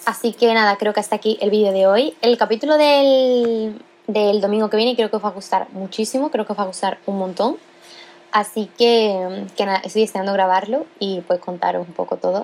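Over noticeable background noise, the speaker goes at a fairly quick pace with ordinary pitch variation. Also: woman. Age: young. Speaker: podcast host. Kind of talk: casual solo monologue. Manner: casual, with many filler sounds.

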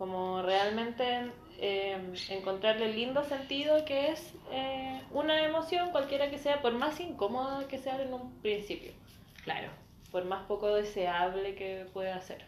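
A woman with a Chilean accent, high in pitch, with lively intonation at a fairly slow pace, in audible room echo. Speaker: podcast co-host. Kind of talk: casual chat.

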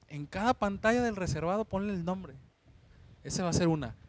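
A man talks at a very fast pace. His high-pitched voice has lively intonation. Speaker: podcast co-host, bar worker. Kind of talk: casual chat.

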